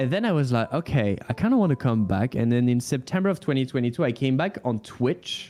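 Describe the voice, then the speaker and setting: With a French accent, a man speaks at a medium pitch and a fairly quick pace, his intonation lively and his loudness very even, while music plays in the background. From France. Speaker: motion graphics artist and streamer. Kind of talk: casual chat. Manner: halting.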